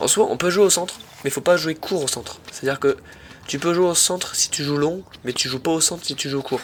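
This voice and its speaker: This man's pitch is high, with ordinary variation. He talks at a fairly quick pace. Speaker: amateur tennis YouTuber. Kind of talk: match commentary voice-over. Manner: animated.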